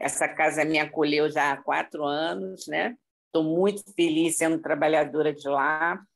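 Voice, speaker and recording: A woman with a very deep, low pitch and vocal fry talks at a fairly slow pace with ordinary pitch variation, in a very clean recording with a silent background. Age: 60s. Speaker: spiritist group member. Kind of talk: casual chat.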